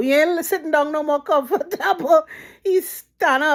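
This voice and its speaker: A woman speaks with a Trinidadian accent. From Trinidad and Tobago. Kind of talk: casual storytelling to camera.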